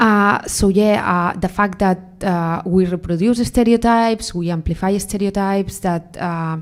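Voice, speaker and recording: A woman at a medium pitch with a Spanish accent, fairly slow and fairly even, with hardly any pauses. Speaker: AI researcher, keynote speaker. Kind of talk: panel Q&A. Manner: halting, many fillers.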